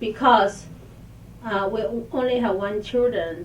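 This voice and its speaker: Speaking fairly slowly in a Chinese accent, a woman keeps her intonation fairly even, with audible room echo and noticeable background noise. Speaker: channel host. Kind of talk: casual chat. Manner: halting.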